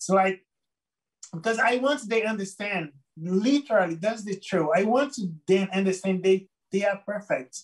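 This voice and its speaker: Here a man speaks in a high pitch with a Brazilian Portuguese accent. His tone is animated and enthusiastic. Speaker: photographer. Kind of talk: interview. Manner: animated, enthusiastic; halting, many repeated words.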